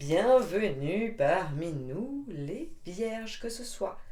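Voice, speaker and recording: Her medium-pitched voice has a dark, mellow tone, and there is audible echo in the room around this woman. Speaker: tarot card reader. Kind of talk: tarot reading to camera. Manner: chatty, hesitant.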